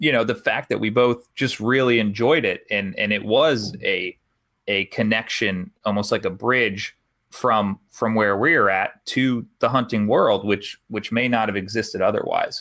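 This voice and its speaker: With an American accent, a man speaks at a fairly slow pace on a very clean recording with a silent background. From Arizona, Tucson. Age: 30s. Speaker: hunting podcaster. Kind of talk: casual interview. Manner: halting.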